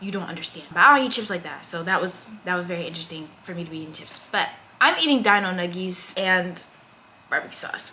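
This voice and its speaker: With an American accent, a woman speaks very fast in a fairly low pitch and an animated tone. Her pitch variation is ordinary, her loudness swings widely, and background noise is noticeable. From United States. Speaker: vlogger, college student. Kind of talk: casual chat.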